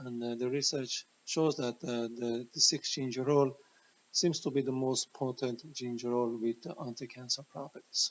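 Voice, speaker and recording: At a moderate pace, a man speaks with a non-native accent. His pitch is fairly high. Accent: noticeable foreign. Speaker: health educator, former chemotherapy researcher. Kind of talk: educational talk presenting research. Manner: hesitant, many fillers.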